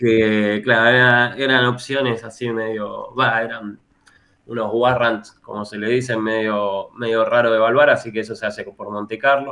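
Using a Rioplatense accent, a man speaks at a moderate pace with a medium pitch and monotone, flat intonation. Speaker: economist and university lecturer. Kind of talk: interview.

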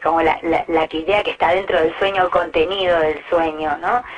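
A woman with a Rioplatense accent over noticeable background noise. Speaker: singer-songwriter. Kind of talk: interview. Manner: halting.

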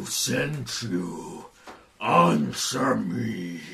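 A booming, gravelly, raspy put-on character voice from a man, very deep and low in pitch, with audible echo. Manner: menacing, demanding.

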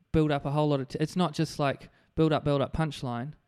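On a very clean recording with a silent background, a man with a New Zealand accent speaks at a moderate pace and a fairly high pitch. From New Zealand, Hawke's Bay (Napier). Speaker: comedian. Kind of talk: casual chat. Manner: halting, stammering repetitions.

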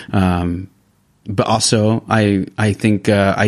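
A man's fairly low, flat, monotone voice in an American accent. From California, US. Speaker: pastor. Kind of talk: casual chat.

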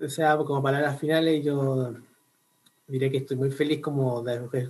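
Speaking at a moderate pace, a man with a medium-pitched, somewhat breathy voice keeps a monotone, flat intonation. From Chile, Concepción. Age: 20s. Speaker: university student and lay preacher. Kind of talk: casual chat.

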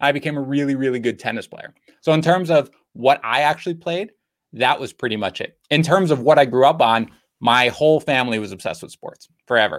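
Ordinary pitch variation in a man's voice set at a medium pitch. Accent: New York. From Queens, New York. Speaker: fantasy football editor and podcast host. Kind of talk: casual chat.

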